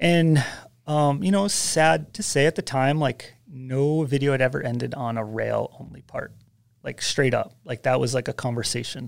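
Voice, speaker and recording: In a plain, everyday voice, a man with an American accent talks at a moderate pace and a fairly high pitch. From US Northeast, Westchester New York. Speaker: snowboard filmer and editor. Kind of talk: casual chat.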